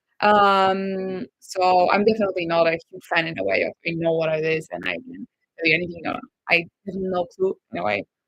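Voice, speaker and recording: The speaker has a Polish accent. The pace is fairly quick. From Poland. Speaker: YouTuber. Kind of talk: live stream Q&A. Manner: hesitant, many fillers.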